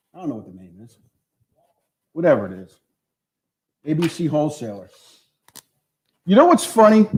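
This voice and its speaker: Animated in tone and high-pitched, a man talks at a fairly quick pace with long, frequent pauses, very wide pitch swings and big swings in loudness. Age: 60s. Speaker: marketing professor. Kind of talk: lecture.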